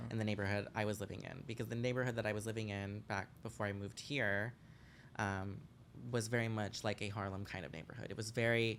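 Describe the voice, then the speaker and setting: Very fast speech from a man, fairly low in pitch and fairly even in intonation. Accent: American. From Los Angeles, California. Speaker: drag performer. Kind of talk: casual chat. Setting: living room.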